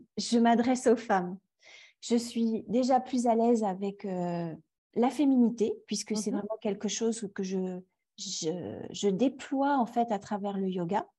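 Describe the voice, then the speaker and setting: Against a quiet background, a woman speaks at a very slow pace with a fairly high pitch and ordinary pitch variation. Her voice is somewhat breathy, with a dark, mellow tone. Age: 40s. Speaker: yoga teacher. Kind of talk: interview. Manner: halting.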